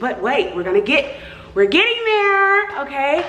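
The speaker is a woman. Room echo is audible, with light background noise. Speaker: vlogger. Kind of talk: casual vlog chat. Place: home room. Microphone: phone near.

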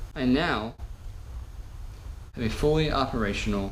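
With light background noise behind him, a man talks with ordinary pitch variation. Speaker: motorcycle repair YouTuber. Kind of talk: tutorial. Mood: self-mocking, relaxed. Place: garage. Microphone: camera far.

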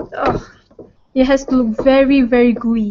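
A woman talks at a moderate pace in a high pitch. Light background noise sits behind her. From Malaysia. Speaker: cooking show presenter. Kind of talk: cooking tutorial. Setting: studio. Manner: animated. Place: kitchen.

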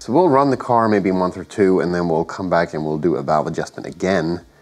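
At a fairly quick pace, a man talks at a low pitch with a slightly mellow tone and ordinary pitch variation.

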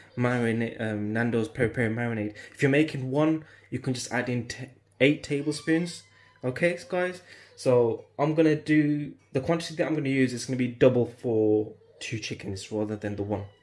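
The pitch shifts in an ordinary way. A man talks at a moderate speed. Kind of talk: tutorial. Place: kitchen.

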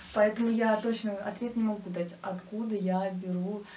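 Over light background noise and audible room echo, a woman talks at a fairly slow pace with fairly even intonation. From Russia, Nizhny Novgorod; Russia. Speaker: YouTube crafts blogger; vlogger. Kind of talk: casual vlog Q&A. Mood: relaxed, friendly. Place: home room.

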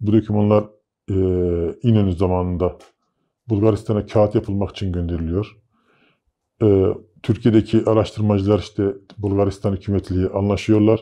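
With a quiet background behind him, a man with a fairly low pitch and a dark, mellow tone speaks in a flat monotone at a moderate pace, pausing long and often. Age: 30s. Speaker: interviewee claiming alien abduction; interviewee. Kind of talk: interview storytelling. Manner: hesitant with filler sounds. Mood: calm, reflective. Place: studio. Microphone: lapel.

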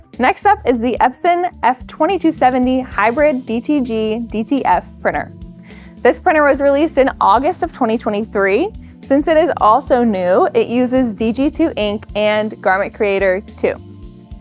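Over faint music in the background, a woman speaks at a very slow pace in a high pitch. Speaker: presenter. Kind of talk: product overview presentation. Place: shop.

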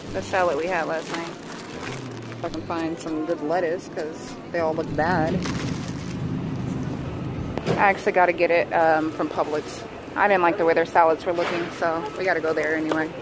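A woman talks at a moderate pace with long, frequent pauses. Loud background noise fills a dry sound with no echo. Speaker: parent vlogger. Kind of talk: casual vlog chat. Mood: slightly rushed, chatty. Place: shop.

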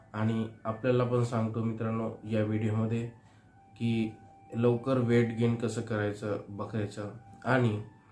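A man holds a monotone, flat delivery at a medium pitch while noticeable noise runs underneath. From Maharashtra, Chandrapur. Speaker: veterinary practitioner. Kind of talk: tutorial.

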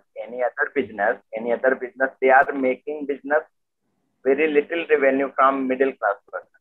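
With an Indian accent, a man talks at a very fast pace and fairly even intonation. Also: medium pitch for a man, quiet background. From Lucknow, Uttar Pradesh, India. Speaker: real estate agent. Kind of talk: casual chat. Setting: video call. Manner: halting. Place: home room. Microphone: video call.

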